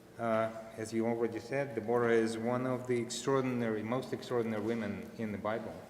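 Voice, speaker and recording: Amid audible room echo, a man talks fairly quickly at medium pitch with monotone, flat intonation. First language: Russian. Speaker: father of bat mitzvah girl. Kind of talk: family speech at religious ceremony. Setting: synagogue service.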